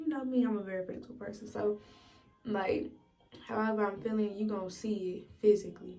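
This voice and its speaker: Music plays in the background and audible room echo is present as a woman speaks at a fairly quick pace with ordinary pitch variation. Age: 20s. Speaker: vlogger and military service member. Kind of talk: casual get-ready-with-me chat. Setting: in her bathroom. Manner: casual, vulnerable and emotional.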